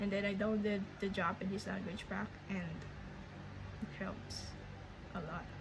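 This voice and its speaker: Over noticeable background noise, a woman talks at a moderate pace. She has a Filipino accent and a medium pitch. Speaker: language learner vlogger. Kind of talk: casual vlog update. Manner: halting, many fillers and restarts.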